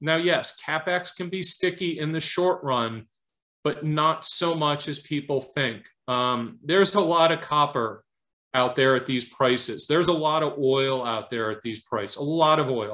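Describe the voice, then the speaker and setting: Speaking at a fairly slow pace, a man with a fairly high pitch and ordinary pitch variation is heard over a quiet background. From Detroit, US Midwest. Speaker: investment fund manager; guest. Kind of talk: interview Q&A and presentation; interview answer. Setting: video call. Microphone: video call.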